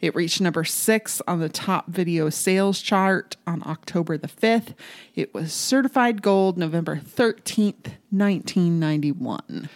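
On a very clean recording with a silent background, a woman in a normal speaking voice talks at a fairly slow pace and fairly low pitch, with ordinary pitch variation and hardly any pauses. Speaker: podcast co-host. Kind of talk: casual chat.

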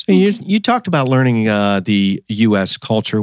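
A man with a medium-pitched voice speaks with an American accent. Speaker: podcast host. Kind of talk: interview.

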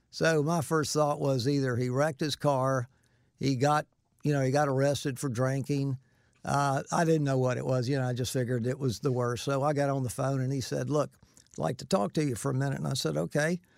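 A man speaks with a Southern US accent at a medium pitch. His pitch varies in an ordinary way, and his pace is fairly quick. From Florida (Winter Haven). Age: 60s. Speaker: host's father, builder. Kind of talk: casual chat.

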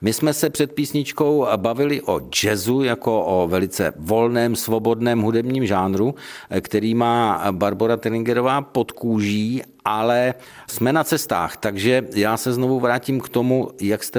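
A man talks in a plain, everyday voice at a medium pitch. His pace is moderate and his pitch variation ordinary. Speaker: radio host. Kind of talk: radio interview. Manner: formal.

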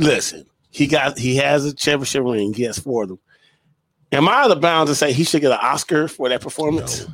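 At a fairly quick pace, a man speaks at a fairly high pitch with vocal fry, ordinary pitch variation and big swings in loudness. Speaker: podcast co-host. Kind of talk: casual banter about sports.

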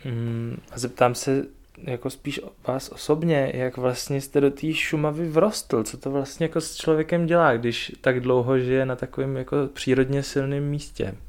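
A man with a normal speaking voice, medium-pitched, at a fairly slow pace with fairly even intonation, on a very clean recording with a silent background. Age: 30s. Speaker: podcast host. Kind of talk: interview. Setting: guest's home.

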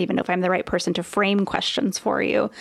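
Over a silent background in a very clean recording, a woman speaks at a medium pitch with vocal fry. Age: 40s. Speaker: author and former business owner. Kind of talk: casual chat.

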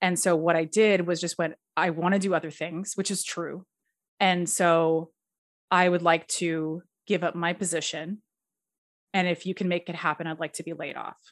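A woman's fairly low voice in a Canadian accent, monotone and flat, with long, frequent pauses against a quiet background. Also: moderate pace. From Edmonton, Alberta, Canada. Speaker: screenwriter and director. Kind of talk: casual interview.

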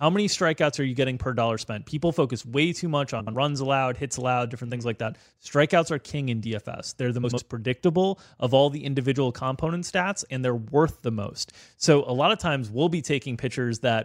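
A man with an American accent and an ordinary speaking voice talks at a fairly quick pace in a medium pitch with ordinary pitch variation, recorded dry and close with no echo in a very clean recording with a silent background. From US South, South Florida. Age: middle-aged. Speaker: fantasy sports analyst. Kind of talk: casual chat. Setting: studio.

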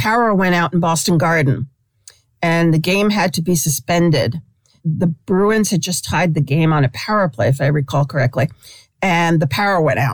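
A woman with an American accent uses a plain, everyday voice, fairly low in pitch, at a moderate pace, with ordinary pitch variation and very even loudness. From New York City, Brooklyn. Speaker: sports columnist. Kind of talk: interview.

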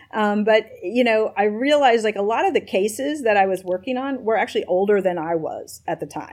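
A woman with an American accent and a plain, everyday voice, fairly high in pitch, at a fairly quick pace with lively intonation. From US South, Nashville, Tennessee. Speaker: tech company policy executive, former government staffer. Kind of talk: interview.

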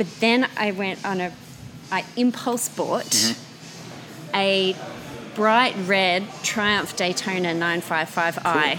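Against noticeable background noise, a woman speaks with an Australian accent. Her pitch is medium, with ordinary variation. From Australia, Canberra. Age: young. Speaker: motorcycle brand marketing manager. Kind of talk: interview.

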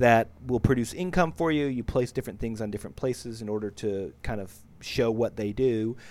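Speaking with an American accent, a man uses a medium pitch with ordinary variation. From United States. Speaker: board game reviewer. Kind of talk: casual chat. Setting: video call. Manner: animated.

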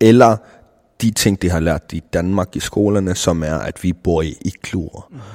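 A man speaks at a fairly slow pace with a very deep, low pitch and ordinary pitch variation. The recording is very clean with a silent background, and the sound is dry and close with no echo. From South Greenland, Nanortalik. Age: 20s. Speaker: rapper and video producer. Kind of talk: interview. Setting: cultural center in Nuuk.

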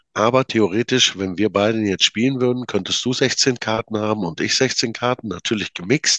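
With hardly any pauses, a man at medium pitch speaks in a bright, sharp tone, recorded dry and close with no echo against a quiet background. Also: ordinary pitch variation, moderate pace. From Münsterland, North Rhine-Westphalia. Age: 40s. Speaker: card game maker. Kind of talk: casual interview. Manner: halting.

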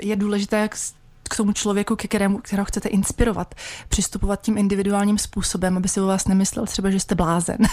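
A woman speaks at a very fast pace and a medium pitch. Her intonation is monotone and flat. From Czech Republic, Vysočina region. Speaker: massage therapist. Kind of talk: radio interview. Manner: halting, many fillers.

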